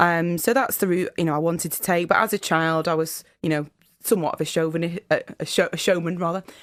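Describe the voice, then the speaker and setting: Fairly low-pitched woman in a northern English accent, fairly quick pace, fairly even intonation. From northern England, Fylde coast, Lancashire. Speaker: solicitor and public speaker. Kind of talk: radio interview. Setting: radio studio.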